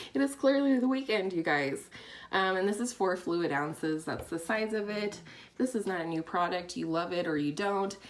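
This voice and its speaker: Here a woman speaks at a medium pitch. Her intonation is lively. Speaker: beauty vlogger. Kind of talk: product review vlog. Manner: fast; casual, chatty.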